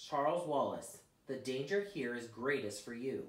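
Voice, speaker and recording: In a put-on character voice, a man speaks at a moderate pace with lively intonation, a creaky quality and medium pitch, with a slight echo. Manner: grave, warning.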